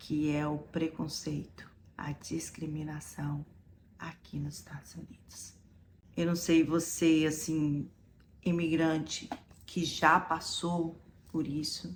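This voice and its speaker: A woman's very deep, low, somewhat breathy voice with a Brazilian accent, very slow in pace and fairly even in intonation. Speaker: vlogger. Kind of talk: personal story told to camera.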